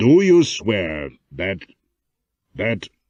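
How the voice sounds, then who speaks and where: In a put-on character voice, a raspy man swings very widely in pitch. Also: fairly low pitch for a man. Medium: read story.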